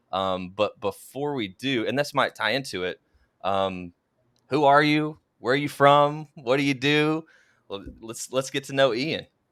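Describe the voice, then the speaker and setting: On a very clean recording with a silent background, a man with an American accent and a plain, everyday voice speaks at a fairly high pitch and fairly slow pace. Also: ordinary pitch variation. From Oklahoma. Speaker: podcast host. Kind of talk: podcast interview. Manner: casual.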